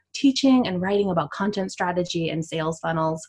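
A woman's somewhat breathy voice at medium pitch, with a Canadian accent and lively intonation. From Canada. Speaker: content strategist. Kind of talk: interview.

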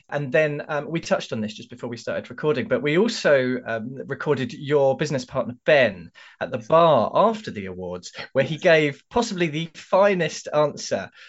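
Moving at a moderate pace with hardly any pauses, a man in a London accent uses a fairly high pitch, very wide pitch swings and big swings in loudness. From London, England. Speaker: podcast co-host. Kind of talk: casual chat.

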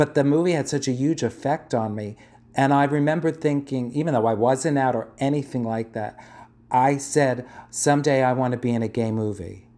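With a New York accent, a man speaks at a moderate pace in a dark, mellow tone with ordinary pitch variation. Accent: New York (Bronx). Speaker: drag performer. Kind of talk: casual interview.

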